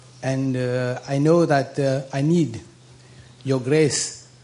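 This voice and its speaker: The man keeps a medium pitch and monotone, flat intonation, with noticeable background noise behind him. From Mauritius. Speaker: audience member. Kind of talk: question at a Q&A session.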